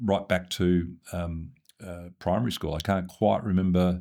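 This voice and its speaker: Speaking with an Australian accent, a man has a very deep, low pitch and a dark, mellow tone. The recording is very clean, with a silent background. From Australia, Sydney. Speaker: former senior public servant. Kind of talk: interview. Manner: hesitant, many fillers.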